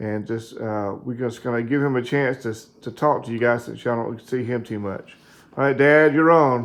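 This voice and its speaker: The man speaks in a normal speaking voice, pitched in the medium range. Moving at a moderate pace, he keeps his intonation fairly even. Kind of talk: casual interview questions.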